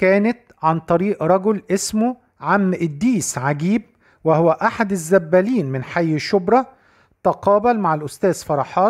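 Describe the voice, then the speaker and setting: The delivery is fairly slow, in a very clean recording with a silent background. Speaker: news narrator for a church channel. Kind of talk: scripted narration. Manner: formal.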